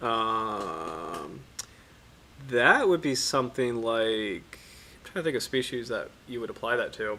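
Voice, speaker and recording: A man speaks at a very slow pace. His tone is relaxed. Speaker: marine biology streamer. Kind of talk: casual live stream study session. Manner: relaxed, hesitant with many fillers.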